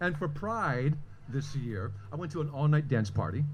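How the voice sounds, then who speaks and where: Audible room echo combines with noticeable background noise throughout the clip. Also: man. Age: 60s. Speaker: storyteller, long-term HIV survivor. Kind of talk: personal storytelling at live event.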